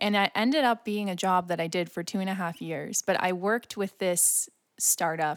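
A woman speaks in an ordinary speaking voice, medium in pitch with ordinary pitch variation, at a moderate pace. The recording is very clean, dry and close, with a silent background and no echo. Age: 20s. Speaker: podcast co-host. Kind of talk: casual chat.

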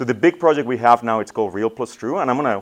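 A man with a Spanish accent, medium pitch and very fast pace, against a quiet background. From Mexico. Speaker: church communications director. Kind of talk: talk to students. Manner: casual, conversational.

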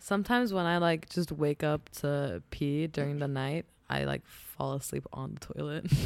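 A woman's very deep, low voice with lively intonation and hardly any pauses, on a very clean recording with a silent background. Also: moderate pace. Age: 20s. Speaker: podcast co-host. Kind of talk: casual chat.

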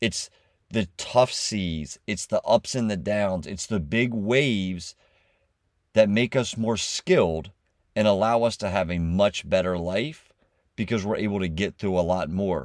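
A man with an unremarkable speaking voice talks at a fairly slow pace, his pitch fairly low with ordinary variation. The recording is very clean with a silent background and a dry, close sound with no echo. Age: 40s. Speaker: podcast host. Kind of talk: motivational monologue.

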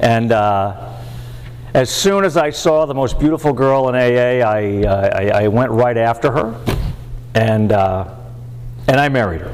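Noticeable background noise sits behind a man talking at a medium pitch. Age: 70s. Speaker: recovering alcoholic speaker. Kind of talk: recovery meeting talk. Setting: meeting with audience. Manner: halting.

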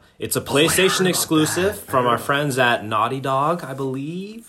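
This man's voice is fairly high-pitched and swings very widely in pitch. Noticeable background noise sits behind him. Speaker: podcast co-host. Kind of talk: casual chat.

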